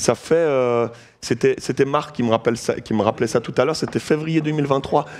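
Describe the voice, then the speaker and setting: A man speaks with a slight Vaud accent. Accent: slight Vaud Swiss. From Switzerland, canton of Vaud. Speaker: pastor, guest preacher. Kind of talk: sermon. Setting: church.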